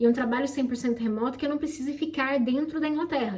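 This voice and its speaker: Very fast and animated, a woman speaks at a high pitch with ordinary pitch variation. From Brazil. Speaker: YouTuber, immigrant office worker. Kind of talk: casual chat.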